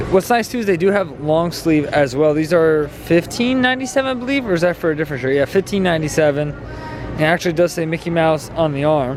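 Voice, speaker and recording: Over noticeable background noise, a man talks very fast with hardly any pauses. His voice is fairly high, with lively intonation. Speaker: Disney shopping vlogger. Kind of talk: casual vlog walkthrough. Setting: inside a store.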